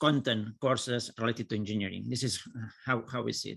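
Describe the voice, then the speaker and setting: A man with a Catalan accent talks fairly quickly in a bright, sharp tone. The recording is very clean, its background silent. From Catalonia, Spain. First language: Catalan or Spanish. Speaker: engineering professor. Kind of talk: conference presentation. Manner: halting.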